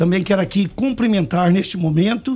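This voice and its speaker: This man's voice sits high in pitch. It varies in an ordinary way. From Brazil, Goiás (Anápolis). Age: 60s. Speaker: mayoral candidate. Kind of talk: radio interview.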